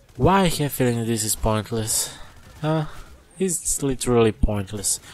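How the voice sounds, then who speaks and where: With a non-native accent, a man speaks at a fairly slow pace and medium pitch, his intonation lively over noticeable background noise. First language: not English. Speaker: gaming YouTuber. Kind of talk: casual game review rant.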